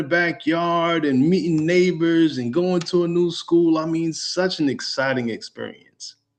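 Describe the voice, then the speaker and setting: A man with a New York accent speaks at a fairly slow pace in a high pitch. His tone is animated, with ordinary pitch variation. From New York, Long Island (raised, via Brooklyn). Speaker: real estate educator. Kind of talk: webinar presentation.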